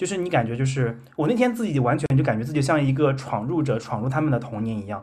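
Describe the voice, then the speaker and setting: Very fast, somewhat breathy speech from a man at medium pitch, with lively intonation. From Henan, China (rural village). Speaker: podcast host. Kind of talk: casual chat.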